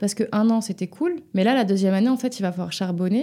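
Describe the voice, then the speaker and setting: In a very clean recording with a silent background, a woman speaks at medium pitch with a dark, mellow tone that is somewhat breathy. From western France, near Nantes (Loire-Atlantique). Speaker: music publisher. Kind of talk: interview.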